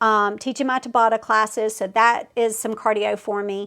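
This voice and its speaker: Against a quiet background, a woman with a Southern US accent talks at a moderate pace with ordinary pitch variation. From US South. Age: 40s. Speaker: fitness competitor and coach. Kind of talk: casual vlog update. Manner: chatty, many fillers.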